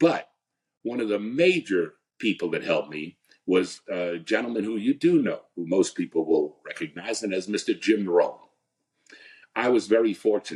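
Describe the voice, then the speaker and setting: An American-accented man speaks at a moderate pace. His pitch is fairly low, and his intonation is lively. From New Jersey, US. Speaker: company founder, direct selling leader. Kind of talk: interview storytelling. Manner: halting, repeats words.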